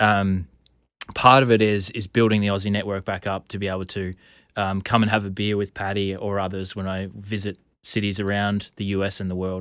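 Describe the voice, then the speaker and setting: A man speaks at a fairly quick clip in a fairly low, flat, monotone voice, recorded very cleanly against a silent background. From Australia. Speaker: podcast host. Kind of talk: podcast interview. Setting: studio.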